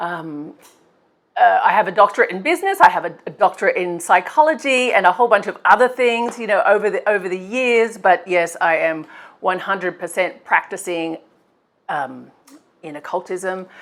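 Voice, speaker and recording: Loudness swings widely as a woman with an Australian accent talks at a moderate pace, her medium-pitched voice carrying lively intonation. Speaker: occult practitioner and YouTuber. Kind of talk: casual Q&A vlog. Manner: hesitant, many fillers and repetitions.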